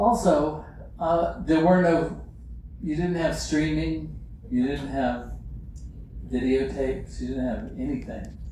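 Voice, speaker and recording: A man with an American accent talks at a very slow pace, leaving long, frequent pauses. Noticeable background noise and audible room echo are present. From US South, Lynchburg, Virginia. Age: 70s. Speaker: illustrator. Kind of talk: public talk with slides. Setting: museum event with live audience. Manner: hesitant, many fillers.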